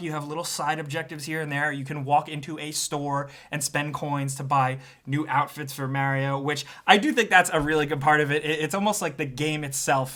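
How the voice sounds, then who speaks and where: A man talks at a very fast pace in a New York accent, his pitch fairly high. His tone is bright, sharp and animated. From New York tri-state area. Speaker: gaming video reviewer. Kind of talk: casual video review monologue.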